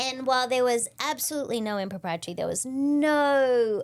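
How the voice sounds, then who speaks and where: On a very clean recording with a silent background, a woman with an Australian accent speaks at a high pitch and a moderate pace, with lively intonation. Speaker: leadership and client experience speaker. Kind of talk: podcast interview.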